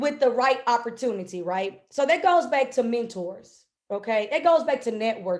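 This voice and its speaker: Animated and with lively intonation, a woman speaks fairly slowly at a high pitch. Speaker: business coach. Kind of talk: webinar talk.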